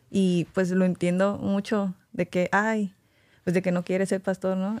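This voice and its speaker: This is a plain, everyday voice: a woman at a medium pitch with ordinary pitch variation and a fairly slow pace. The sound is dry and close with no echo, on a very clean recording with a silent background. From Mexico. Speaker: doctor. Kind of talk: casual chat.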